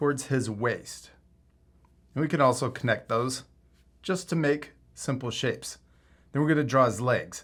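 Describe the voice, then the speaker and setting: The man's voice is fairly high and his delivery fairly slow. The recording is very clean, with no background sound. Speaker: art teacher. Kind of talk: tutorial.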